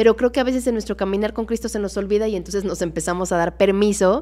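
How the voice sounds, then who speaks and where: A woman talks with ordinary pitch variation while faint music sounds in the background. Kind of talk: casual Bible study livestream. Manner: fast. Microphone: studio mic.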